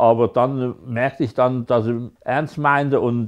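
At a very slow pace, a man speaks in a monotone, flat way against a quiet background. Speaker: stroke patient's husband. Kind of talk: interview answer. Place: home room. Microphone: lapel.

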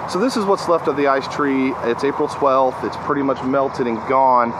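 Noticeable background noise sits behind a man speaking. He talks at a fairly quick pace with ordinary pitch variation. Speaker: vlogger. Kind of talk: casual vlog chat. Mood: heartfelt, reflective. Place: garden. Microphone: phone near.

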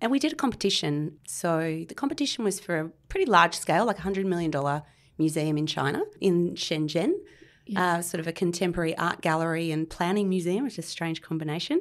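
A woman talks at a fairly quick pace with an Australian accent, her pitch fairly low. The recording is very clean and the background silent. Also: ordinary pitch variation. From Australia, Canberra. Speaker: architect. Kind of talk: interview.

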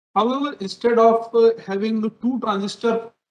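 A man with audible room echo. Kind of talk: conference talk. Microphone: webcam.

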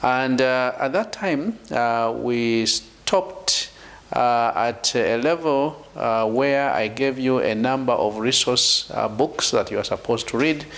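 A man speaks at a fairly slow pace, his loudness very even and his pitch variation ordinary. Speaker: lecturer. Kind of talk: lecture.

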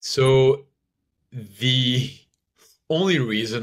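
A man talks at a very slow pace. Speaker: stand-up comedian, motivational speaker. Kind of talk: interview answer.

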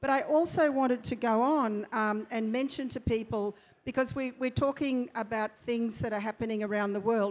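With a plain, everyday voice, a woman talks at a moderate pace and a fairly high pitch, keeping a fairly even intonation and hardly any pauses. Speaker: blockchain industry leader; panelist. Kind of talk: panel discussion. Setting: stage with audience. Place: stage. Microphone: lapel.

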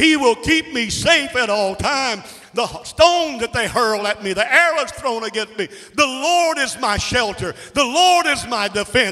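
A man uses a raised, projected voice at an extremely high pitch, speaking at a fairly slow pace with lively intonation. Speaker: preacher. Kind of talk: sermon. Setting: church. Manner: animated; fervent, call-and-response. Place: church. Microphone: handheld.

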